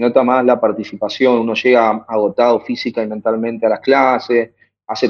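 A man with a Buenos Aires accent talks at a moderate pace in a medium pitch, his intonation monotone and flat. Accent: Rioplatense Spanish (Buenos Aires). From Buenos Aires conurbano, Argentina. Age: 20s. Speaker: activist and teacher. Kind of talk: interview. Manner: hesitant, many fillers and repetitions.

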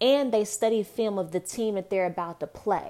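With an American accent, a woman speaks in a dark, mellow tone with ordinary pitch variation on a very clean recording with a silent background. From Texas (Dallas). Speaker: podcast host, motivational speaker. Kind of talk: casual motivational monologue.

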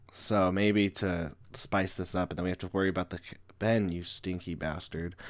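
Monotone and flat, a man's voice moves at a moderate pace. His pitch is very deep and low. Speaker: comic artist and podcaster. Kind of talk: tutorial. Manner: halting.

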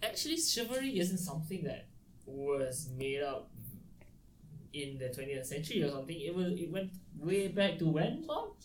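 A man with a high voice speaks at a moderate pace with lively intonation, taking long, frequent pauses amid audible room echo. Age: 20s. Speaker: podcast host. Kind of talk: casual chat. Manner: animated. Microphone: not yet their new mics.

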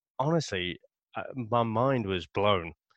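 Over a quiet background, someone with a British accent speaks at a very slow pace with lively intonation. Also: man, dry, close sound with no echo. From Britain. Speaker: comics podcaster. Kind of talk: casual chat.

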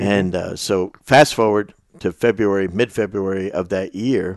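A man speaks with a fairly low pitch. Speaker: basketball coach and podcast host. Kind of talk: casual interview with ad read. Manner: animated, enthusiastic.

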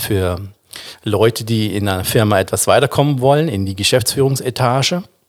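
This is a man with a normal speaking voice at a medium pitch. He talks at a fairly quick pace with ordinary pitch variation. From Baden, southwest Germany (Offenburg). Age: 50s. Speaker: singer. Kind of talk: casual chat.

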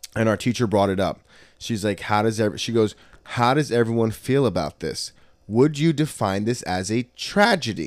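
Recorded very cleanly with a silent background, a man with an unremarkable speaking voice talks at a moderate pace and medium pitch with ordinary pitch variation. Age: 30s. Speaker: jiu-jitsu academy owner and podcast host. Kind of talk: casual chat. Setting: in the academy after class.

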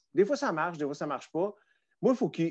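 Against a quiet background, a man with a Quebec accent speaks at a fairly high pitch with very wide pitch swings. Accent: Québécois French. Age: 40s. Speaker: former music TV host. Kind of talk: casual chat.

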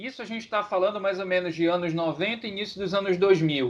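This man speaks at a pitch that is high for a man. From Pará, Brazil. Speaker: podcast co-host. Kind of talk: casual chat.

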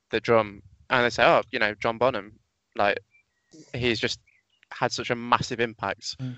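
This man speaks in a British accent with monotone, flat intonation, stopping for long, frequent pauses. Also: medium pitch for a man, moderate pace. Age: 20s. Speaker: drummer. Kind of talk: casual interview chat.

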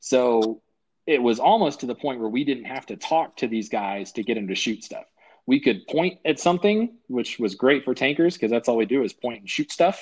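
In an ordinary speaking voice, a man talks at a moderate pace and medium pitch with lively intonation against a quiet background. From US, military family, moved around; high school in Colorado. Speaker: army veteran and pilot. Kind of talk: casual interview.

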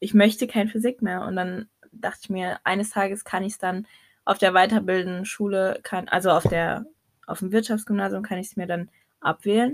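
Against a silent background on a very clean recording, the voice sounds somewhat breathy. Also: woman. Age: 20s. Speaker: podcast co-host. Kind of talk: casual chat.

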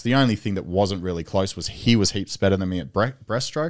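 Fairly low in pitch, a man with an Australian accent speaks at a fairly quick pace on a very clean recording with a silent background. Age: 30s. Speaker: Olympic swimmer and strength coach. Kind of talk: casual chat. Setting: studio.

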